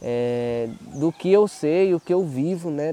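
This man's voice has a dark, mellow tone. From Bahia, Brazil (northeast). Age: 20s. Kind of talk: casual explanation.

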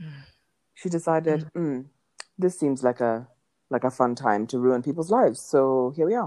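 This woman's voice is very deep and low in pitch, with a dark, mellow tone. She leaves long, frequent pauses. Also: ordinary pitch variation, moderate pace. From Kenya. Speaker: podcast co-host. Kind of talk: casual chat. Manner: animated.

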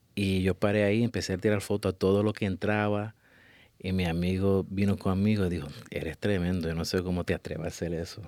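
A man speaks with a very deep, low pitch. His delivery is fairly quick, with monotone, flat intonation. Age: 30s. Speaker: photographer. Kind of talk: interview.

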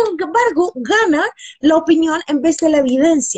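A woman with a Chilean accent talks at a fairly slow pace. Her extremely high voice makes very wide pitch swings. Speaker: host and researcher. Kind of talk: interview.

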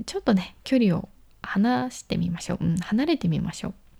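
A woman speaks in a relaxed way, her dark, mellow tone a little breathy. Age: 20s. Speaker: solo podcast host. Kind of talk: casual solo radio talk. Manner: relaxed, conversational with fillers.

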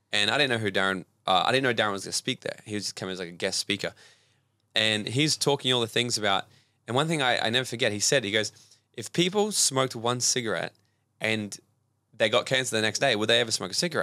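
A man with an Australian accent at a very fast pace, bright and sharp in tone, with ordinary pitch variation and a dry, close sound with no echo on a very clean recording with a silent background. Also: medium pitch for a man. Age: 20s. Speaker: personal development coach. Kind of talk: casual chat.

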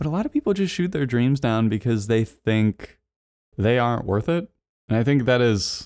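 Here is a man with an ordinary speaking voice at medium pitch. He talks at a fairly quick pace. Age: 20s. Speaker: podcast host and video production business owner. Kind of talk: solo monologue podcast.

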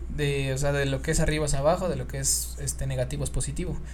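Speech in a Mexican accent at a fairly quick pace, over noticeable background noise. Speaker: podcast co-host. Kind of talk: casual chat. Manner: animated.

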